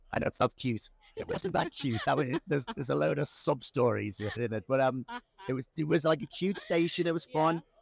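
Speaking with an Irish accent, a man uses lively intonation and vocal fry at a fairly quick pace, in a dry, close sound with no echo. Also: fairly high pitch for a man. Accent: Irish-sounding, self-described. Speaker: media company founder. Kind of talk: casual interview chat. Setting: in person at an event. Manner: halting, many fillers and restarts.

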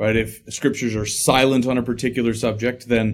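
This man has an American accent and a medium pitch. His delivery is fairly quick, with monotone, flat intonation. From Illinois, US Midwest. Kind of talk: casual interview conversation.

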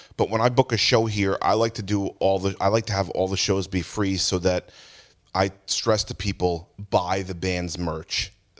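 A man with an American accent and an unremarkable speaking voice has a fairly low pitch. He keeps a moderate pace and fairly even intonation. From New Jersey, Jackson (Ocean County). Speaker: music store owner. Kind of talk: casual chat. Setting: inside a music store.

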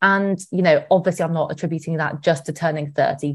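In a British accent, a woman speaks at a fairly low pitch with ordinary pitch variation against a quiet background. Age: 30s. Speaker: money expert. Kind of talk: casual chat.

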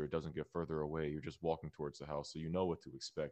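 Against a quiet background, a man speaks at a very fast pace. His pitch is very deep and low, and his intonation flat and monotone. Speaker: YouTuber and narrator of scary stories. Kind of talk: casual interview chat. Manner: soft, mellow.

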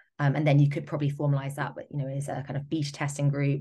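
A woman's very deep, low voice with vocal fry, in a British accent over a quiet background. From Britain. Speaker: digital product and marketing specialist. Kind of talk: interview.

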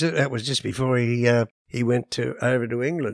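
With an Australian accent, a man talks at a moderate pace. His pitch is medium. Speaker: musician. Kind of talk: casual chat.

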